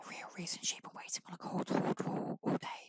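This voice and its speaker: A man whispers in a dry, close sound with no echo. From Britain. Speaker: ASMR creator. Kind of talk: ASMR audiobook reading. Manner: whispered, softly spoken.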